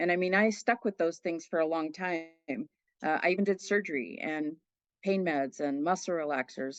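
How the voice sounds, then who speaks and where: Against a quiet background, a woman with a normal speaking voice talks at a moderate pace and a fairly low pitch with ordinary pitch variation, the sound dry and close with no echo. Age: 60s. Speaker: nurse, coaching client. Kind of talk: interview testimony. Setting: podcast.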